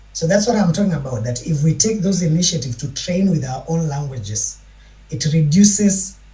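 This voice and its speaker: Over noticeable background noise and audible room echo, a man speaks at a fairly quick pace. His pitch is fairly high. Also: lively intonation. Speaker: panel discussant, doctoral student. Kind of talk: panel discussion.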